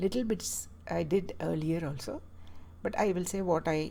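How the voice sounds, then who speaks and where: A woman with a Keralan accent. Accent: Indian English (Malayali). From Kerala, South India. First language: Malayalam. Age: 60s. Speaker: health vlogger. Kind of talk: personal talk to camera. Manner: halting, with many fillers.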